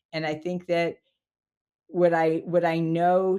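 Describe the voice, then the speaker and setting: At a very slow pace, a woman speaks with a fairly low pitch and a dark, mellow tone. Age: 60s. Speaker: executive career strategist. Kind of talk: interview. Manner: halting.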